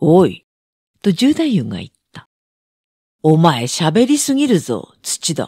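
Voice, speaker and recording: At a very slow pace with long, frequent pauses, a woman speaks in a fairly low pitch with a dark, mellow tone, vocal fry and very wide pitch swings. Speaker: audiobook narrator. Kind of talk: reading aloud.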